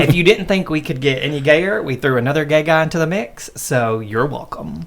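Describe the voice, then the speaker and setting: Noticeable background noise sits behind a man speaking at a fairly quick pace. His pitch is fairly high, with ordinary pitch variation. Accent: American. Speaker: podcast host. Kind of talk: casual chat; scripted intro.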